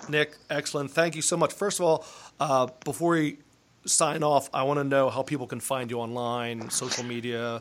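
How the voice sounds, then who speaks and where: A man with a normal speaking voice talks at a moderate pace, his fairly high pitch moving with ordinary variation. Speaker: podcast host. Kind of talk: interview.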